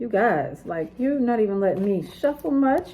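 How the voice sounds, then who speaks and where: A woman speaking fairly quickly with very wide pitch swings, over noticeable background noise. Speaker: tarot reader. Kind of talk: tarot reading. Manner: casual, chatty.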